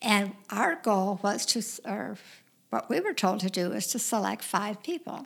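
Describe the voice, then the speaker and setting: A woman speaks fairly slowly in a medium pitch with vocal fry. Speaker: widow sharing late husband's story. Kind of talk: casual interview, storytelling.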